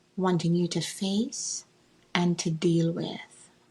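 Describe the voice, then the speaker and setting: A woman talks very slowly, her tone dark and mellow and her voice somewhat breathy. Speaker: author and mentor. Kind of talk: guided visualization.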